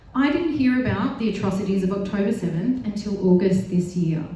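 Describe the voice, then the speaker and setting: There is audible room echo and noticeable background noise as a woman talks with an Australian accent. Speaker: health project officer, panel speaker. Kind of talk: panel speech. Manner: loud.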